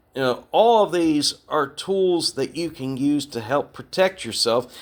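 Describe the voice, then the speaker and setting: Lively in intonation, an ordinary speaking voice proceeds fairly slowly. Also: man. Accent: American. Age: 60s. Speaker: podcast host, retired navy veteran. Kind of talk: podcast monologue. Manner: conversational.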